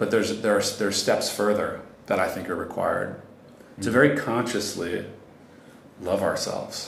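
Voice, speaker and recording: Long, frequent pauses from a man at a moderate pace, with audible room echo. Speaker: meditation teacher. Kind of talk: casual interview. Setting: busy co-working space.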